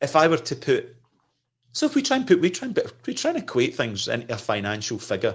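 A man with a Scottish accent at a fairly quick pace, broken by long, frequent pauses, on a very clean recording with a silent background. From Scotland. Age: 50s. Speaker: trauma counselor. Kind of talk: casual conversation. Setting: studio.

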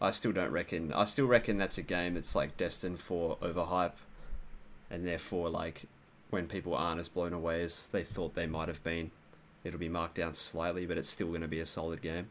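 Talking with an Australian accent, a man with a very deep, low pitch keeps a fairly quick pace and fairly even intonation. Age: 20s. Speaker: gaming podcast guest. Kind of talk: casual chat.

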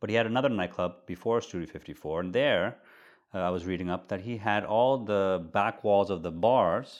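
Ordinary pitch variation marks this man's speech. He has an American accent, and the background is quiet. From Netherlands. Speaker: hotelier and art collector. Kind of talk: casual interview conversation.

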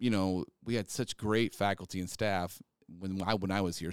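A man's fairly low voice with a Midwestern American accent, fairly quick pace, and dry, close sound with no echo. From north central Kansas. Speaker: podcast host, health educator. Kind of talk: casual interview conversation.

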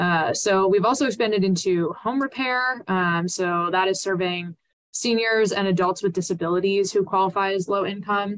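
With an American accent, a woman talks in an unremarkable speaking voice at medium pitch and a moderate pace, with ordinary pitch variation, hardly any pauses and very even loudness. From Pennsylvania, Lancaster. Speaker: nonprofit fundraising executive. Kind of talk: podcast interview.

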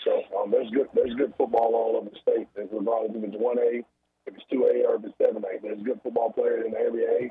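Fairly quickly, a man talks while his volume rises and falls in big swings. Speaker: high school football coach. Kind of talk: post-game coach interview.

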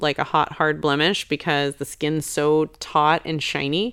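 In a very clean recording with a silent background, a woman speaks at a moderate pace in a very deep, low voice. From Chicago, US Midwest. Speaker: makeup company co-founder. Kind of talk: casual interview.

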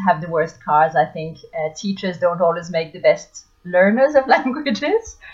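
Over music in the background, a woman with a medium pitch speaks at a fairly slow pace. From France (Paris area). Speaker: language teacher. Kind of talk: interview.

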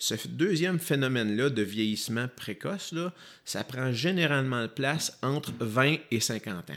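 With lively intonation, an ordinary speaking voice carries the clip. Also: man, medium pitch for a man. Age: 40s. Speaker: physiotherapist. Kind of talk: interview.

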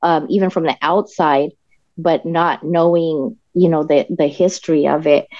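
An unremarkable speaking voice from a woman with an American accent, fairly low in pitch, at a fairly slow pace with fairly even intonation. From Denver, Colorado. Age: 40s. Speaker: political party state director. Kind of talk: interview.

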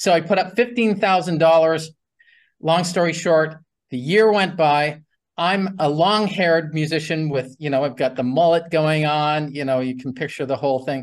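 The voice moves at a moderate pace with ordinary pitch variation against a quiet background. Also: man, fairly high pitch for a man. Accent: Canadian. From Canada. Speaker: real estate investing educator. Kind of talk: interview. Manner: long-winded.

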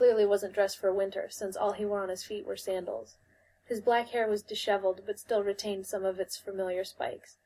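A natural voice reads aloud here. The intonation holds fairly even.

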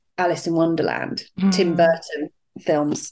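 In a British accent, a woman speaks with a fairly low pitch and fairly even intonation. The background is quiet. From UK. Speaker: life coach. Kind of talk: interview.

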